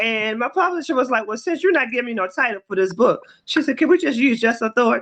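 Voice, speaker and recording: With a Baltimore accent, a woman talks very fast at a high pitch, with lively intonation. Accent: Baltimore American. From US, Baltimore. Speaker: author. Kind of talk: interview.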